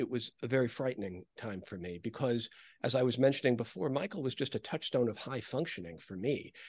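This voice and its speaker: An ordinary speaking voice from a man with an American accent, medium pitch, lively intonation and a fairly quick pace, against a quiet background. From New York (New Rochelle). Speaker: author. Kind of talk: interview.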